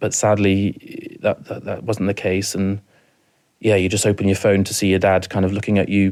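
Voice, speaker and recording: At a moderate pace, a man speaks with a fairly low pitch and a monotone, flat intonation. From rural mid Wales. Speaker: bereaved family member. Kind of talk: personal testimony in interview. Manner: halting, many repetitions and fillers.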